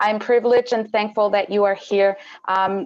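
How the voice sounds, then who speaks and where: A woman with a Spanish accent, medium pitch and monotone, flat intonation, over a quiet background. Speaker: panel moderator. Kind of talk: moderated webinar introduction. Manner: halting.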